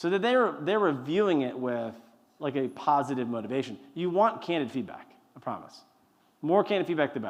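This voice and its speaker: A man with a fairly high voice speaks at a fairly quick pace, his pitch swinging very widely. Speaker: company founder and CEO. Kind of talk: Q&A talk at university event. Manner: stutters; mumbling.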